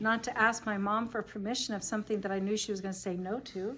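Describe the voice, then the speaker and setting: Noticeable background noise is present. The talking goes at a very fast pace. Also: woman. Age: 60s. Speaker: Bible study leader. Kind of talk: group Bible study discussion. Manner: conversational.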